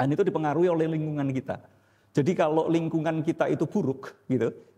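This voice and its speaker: A man's fairly high, somewhat breathy voice with a dark, mellow tone, ordinary pitch variation and a very fast pace. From Indonesia, Surabaya (East Java). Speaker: pastor and theology teacher. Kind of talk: church teaching with Q&A. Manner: blunt, direct.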